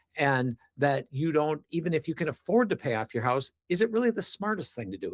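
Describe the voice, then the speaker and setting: Somewhat breathy, a man with an American accent talks at a fairly quick pace with lively intonation, in a dry, close sound with no echo. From US Midwest, Wisconsin. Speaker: reverse mortgage specialist and author. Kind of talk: interview.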